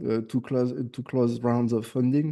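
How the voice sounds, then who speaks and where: With a French accent, a man speaks at a moderate pace and medium pitch, his tone dark and mellow, against a quiet background. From France. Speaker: AI automation agency owner. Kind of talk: casual chat.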